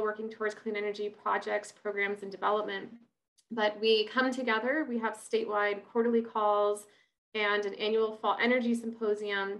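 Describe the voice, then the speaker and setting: A woman talks at a moderate pace with monotone, flat intonation. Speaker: online event host. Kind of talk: introduction for a webinar. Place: home room. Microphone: webcam.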